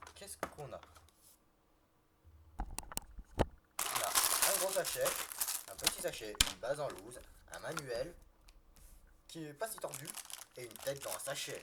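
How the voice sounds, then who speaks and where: Over noticeable background noise, a man speaks at a very slow pace with long, frequent pauses and big swings in loudness. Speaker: toy reviewer youtuber. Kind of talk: live build commentary. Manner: halting, many false starts.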